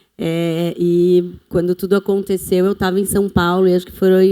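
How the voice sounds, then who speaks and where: A woman's dark, mellow, fairly low voice with a Brazilian accent, at a fairly slow pace. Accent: non-local Brazilian accent, noticeable. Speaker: retail company communications executive. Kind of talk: panel discussion.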